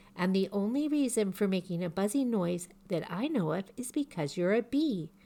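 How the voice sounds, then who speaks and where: On a very clean recording with a silent background, a woman does a growling, put-on character voice at a moderate pace. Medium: read story. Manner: earnest, slow, ponderous.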